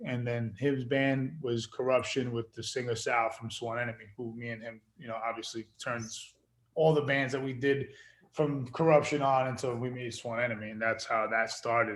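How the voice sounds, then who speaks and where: This man has a medium pitch and a New York accent, with fairly even intonation. His loudness swings widely. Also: moderate pace. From Queens, New York. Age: 40s. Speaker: actor and musician. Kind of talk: casual interview.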